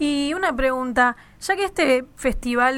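Over a silent background in a very clean recording, a woman's voice comes through with a bright, sharp tone. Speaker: communication student, radio newcomer. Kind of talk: radio show chat.

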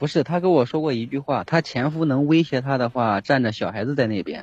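This man has an unremarkable speaking voice with fairly high pitch. His intonation shows ordinary pitch variation. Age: 30s. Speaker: caller seeking relationship advice. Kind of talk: call-in advice conversation.

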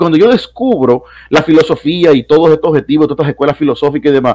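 A man talks at a very fast pace with lively intonation and a fairly high pitch. The sound is dry and close, with no echo. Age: 30s. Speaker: philosophy professor. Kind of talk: casual chat.

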